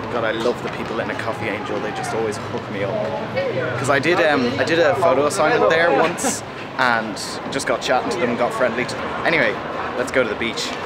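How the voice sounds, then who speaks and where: Very fast male speech over loud background noise. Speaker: vlogger. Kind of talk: casual vlog chat. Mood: cheerful, enthusiastic. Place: street. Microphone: phone near.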